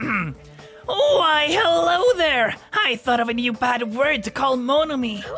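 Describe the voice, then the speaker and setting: Set against clear background music, a put-on character voice speaks at a high pitch and a fairly slow pace. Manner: playful, mischievous.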